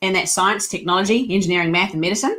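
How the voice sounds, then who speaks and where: A woman speaks with a slight New Zealand accent at a medium pitch and with ordinary pitch variation. The recording is very clean, with a silent background. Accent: slight New Zealand twang. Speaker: leadership coach and company co-founder. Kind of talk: podcast interview.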